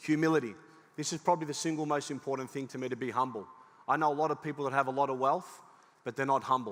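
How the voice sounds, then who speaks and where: Talking at a very fast pace, a man uses a fairly high voice and an animated tone. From Cyprus. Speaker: business speaker. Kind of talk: motivational talk. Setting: stage with audience.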